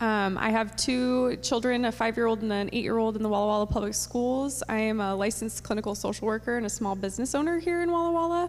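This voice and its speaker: A woman's very fast, lively-toned speech with hardly any pauses, very even loudness and audible room echo. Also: fairly high pitch for a woman. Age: 30s. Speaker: social worker. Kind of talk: candidate introduction. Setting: school gym with audience.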